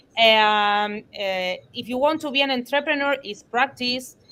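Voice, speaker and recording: A woman with a non-native accent, high in pitch, at a fairly slow pace with ordinary pitch variation. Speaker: blockchain teacher and startup co-founder. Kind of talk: online panel discussion. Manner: halting, many hesitations.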